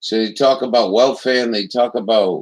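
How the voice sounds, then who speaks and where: A man with an American accent, medium pitch, ordinary pitch variation, a moderate pace and an ordinary speaking voice. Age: 60s. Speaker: political commentary livestreamer. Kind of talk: casual chat.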